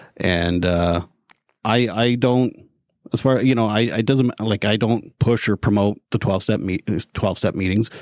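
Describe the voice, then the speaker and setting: In a very clean recording with a silent background, a man talks at a moderate pace in a fairly low pitch, the sound dry and close with no echo. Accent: Canadian prairie. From Canada. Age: 40s. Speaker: mental health advocate and podcaster. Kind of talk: casual interview. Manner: hesitant, repeats words.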